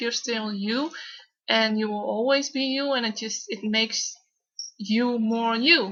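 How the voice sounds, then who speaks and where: The speaker has a Dutch accent. Delivery comes at a fairly slow pace with fairly even intonation. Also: woman. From Netherlands. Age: 20s. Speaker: vlogger with Tourette syndrome. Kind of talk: personal vlog. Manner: halting, with repetitions and fillers.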